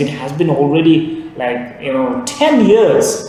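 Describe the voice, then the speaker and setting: With a Bangladeshi accent, a man talks at a fairly slow pace in a high voice, over noticeable background noise and audible room echo. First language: Bengali. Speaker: English teacher. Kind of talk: tutorial. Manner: hesitant, many fillers.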